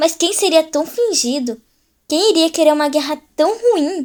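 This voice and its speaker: A woman puts on a character voice at an extremely high pitch. She moves at a moderate pace with lively intonation. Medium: read story.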